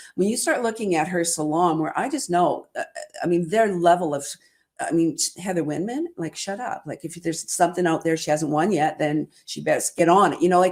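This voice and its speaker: Here is a woman with a plain, everyday voice and a fairly low pitch. She talks at a fairly quick pace with ordinary pitch variation. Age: 60s. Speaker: salon business coach, livestream host. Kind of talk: casual interview chat. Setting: live video stream.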